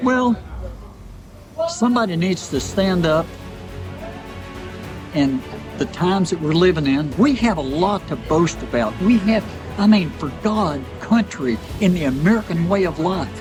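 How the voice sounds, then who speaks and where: With music in the background, a man speaks at a high pitch and a moderate pace, his intonation lively and his pauses long and frequent. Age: 80s+. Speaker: ultramarathon runner; war veteran. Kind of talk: motivational interview answer. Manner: fervent, preacher-like.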